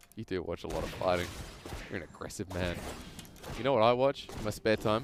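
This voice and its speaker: A man's animated voice in an Australian accent, fairly low in pitch, with ordinary pitch variation and a very fast pace. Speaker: esports commentator. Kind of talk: casual banter; live commentary.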